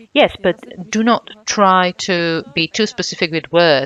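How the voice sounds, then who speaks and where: A woman speaks with lively intonation in an unremarkable speaking voice. The sound is dry and close, with no echo. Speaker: workshop speaker, works with mothers. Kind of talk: workshop presentation. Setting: conference workshop with audience.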